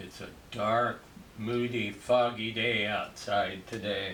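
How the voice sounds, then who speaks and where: A man speaks in a relaxed tone with monotone, flat intonation, with audible room echo and noticeable background noise. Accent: Midwestern US. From rural Kansas. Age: 60s. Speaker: landscape painter. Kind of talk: painting tutorial. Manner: relaxed, conversational.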